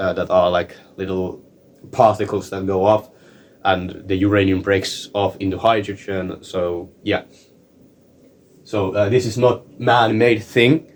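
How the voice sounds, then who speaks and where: At a fairly slow pace, a man speaks with fairly even intonation in a fairly low pitch. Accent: non-native. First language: not English. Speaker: science explainer video maker. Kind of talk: informal tutorial. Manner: halting, many fillers and repetitions.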